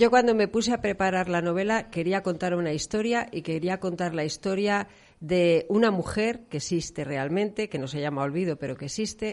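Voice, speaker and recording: Against a quiet background, a normal speaking voice goes at a moderate pace with ordinary pitch variation. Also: woman. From León, Spain. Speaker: novelist. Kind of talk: radio interview.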